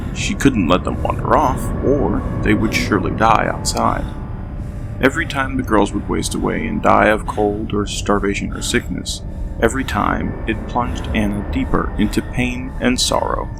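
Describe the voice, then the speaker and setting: A man talks at a moderate speed. Behind him, music can be heard. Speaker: content creator. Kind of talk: game lore narration.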